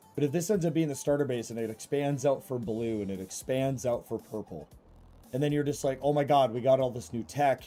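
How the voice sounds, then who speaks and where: With music behind him, a man's voice sits at a medium pitch. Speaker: gaming streamer. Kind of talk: live gameplay stream with chat. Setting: live stream. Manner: casual, many fillers.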